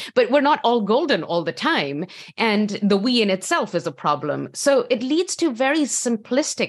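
A woman speaks at a fairly slow pace with vocal fry and very wide pitch swings. The background is quiet. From Pakistan. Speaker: history professor. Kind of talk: panel discussion. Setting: video call.

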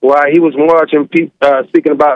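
An ordinary speaking voice from a man with an American accent, fairly high in pitch, at a moderate pace. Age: 30s. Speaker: caller. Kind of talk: heated debate. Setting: phone call.

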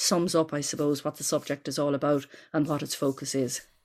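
Heard on a very clean recording with a silent background, a woman speaks in an Irish accent. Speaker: folklore professor. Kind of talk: interview. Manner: hesitant, many repeated words.

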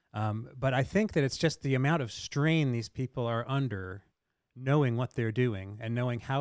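A man with an ordinary speaking voice, medium pitch and ordinary pitch variation, on a very clean recording with a silent background. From US, Delaware. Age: 50s. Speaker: news editor. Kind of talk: casual chat.

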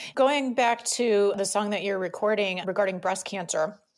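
This woman has an American accent and a medium pitch, with ordinary pitch variation. She talks at a moderate pace in a very clean recording with a silent background. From Michigan, US. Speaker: podcast host. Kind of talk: casual interview.

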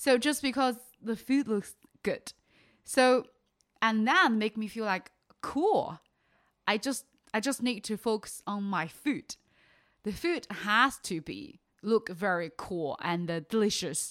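Over a silent background in a very clean recording, a woman with a Chinese accent speaks at a fairly high pitch with lively intonation, at a very slow pace with long, frequent pauses. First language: Mandarin Chinese. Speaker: vegan content creator. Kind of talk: casual interview. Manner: animated; halting.

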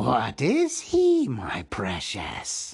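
Someone whispers in a put-on character voice. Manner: whispering, muttering to himself.

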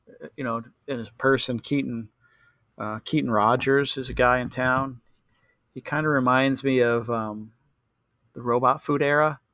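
Recorded with a dry, close sound and no echo, a man speaks at a medium pitch with fairly even intonation. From US. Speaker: snowboarding photographer and brand founder. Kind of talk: casual interview chat. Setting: remote call.

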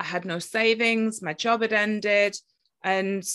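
A woman with a British accent speaks in a bright, sharp tone against a quiet background. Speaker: podcast host and spiritual teacher. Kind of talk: interview. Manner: talkative.

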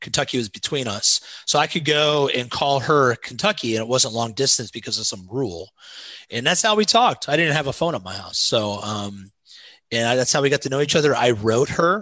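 Over a quiet background, a man with a bright, sharp tone and a medium pitch talks at a fairly quick pace with lively intonation. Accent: Midwestern American. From US Midwest, southern Indiana near Cincinnati. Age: 40s. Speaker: pastor. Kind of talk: casual chat.

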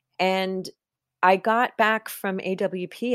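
A woman speaks in an ordinary speaking voice at medium pitch, with fairly even intonation. The sound is dry and close with no echo, and the recording is very clean over a silent background. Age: 50s. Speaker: writer and editor. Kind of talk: interview.

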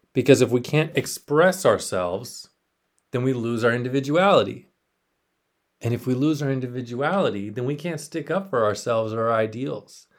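In a very clean recording with a silent background, a man with an American accent speaks at a moderate pace and medium pitch, his intonation lively. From South Texas. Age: 30s. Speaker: podcast host, Navy veteran. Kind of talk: solo monologue podcast. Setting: home spare bedroom. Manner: casual, filler-heavy.

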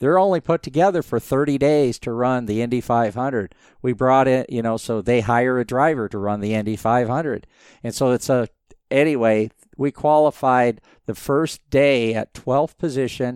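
A man with an American accent has an unremarkable speaking voice, talking at a moderate pace with ordinary pitch variation in a dry, close sound with no echo and a quiet background. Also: medium pitch for a man. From US Southwest, Phoenix, Arizona. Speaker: motorsport engineer and business owner. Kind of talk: interview.

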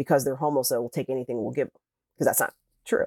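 This man has a fairly high voice and an American accent. The recording is very clean, with a silent background and a dry, close sound with no echo. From US Midwest, suburb of Cleveland, Ohio. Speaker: newspaper columnist and reporter. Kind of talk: interview conversation. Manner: conversational, many fillers.

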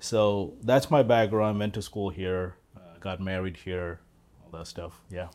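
Speaking fairly slowly, a man with a very deep, low pitch shows ordinary pitch variation and big swings in loudness. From India, Kerala. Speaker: political candidate. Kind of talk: interview.

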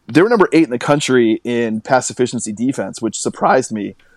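A man with an American accent speaks in an unremarkable speaking voice at medium pitch and a moderate pace, on a very clean recording with a silent background and a dry, close sound with no echo. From western Washington (Carnation). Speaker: sports journalist. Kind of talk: casual chat.

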